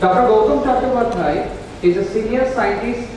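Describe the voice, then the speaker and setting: Strong room echo and noticeable background noise surround a man speaking at a moderate pace with ordinary pitch variation. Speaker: event emcee. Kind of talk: formal announcements. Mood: formal, polite. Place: hall.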